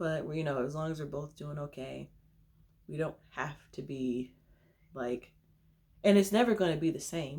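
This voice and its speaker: A woman's very deep, low voice with a dark, mellow tone, moderate pace, ordinary pitch variation, big swings in loudness and long, frequent pauses. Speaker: vlogger. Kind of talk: casual chat.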